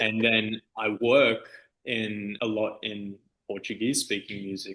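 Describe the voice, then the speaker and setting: A man talks in an Australian accent with a bright, sharp tone. His intonation is monotone and flat. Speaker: DJ and music producer. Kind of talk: interview. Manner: casual, halting with fillers.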